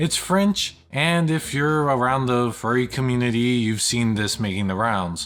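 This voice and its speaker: Lively intonation from a man at medium pitch, very even loudness, a fairly slow pace, and hardly any pauses. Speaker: film reviewer YouTuber. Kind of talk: casual vlog review. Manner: halting with fillers.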